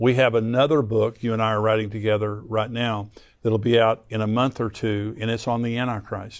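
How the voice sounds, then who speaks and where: A man speaks at a moderate pace with an American accent. His pitch is medium, and he has an unremarkable speaking voice. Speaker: Bible prophecy teacher, pastor and show host. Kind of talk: interview host discussing Bible prophecy and current events.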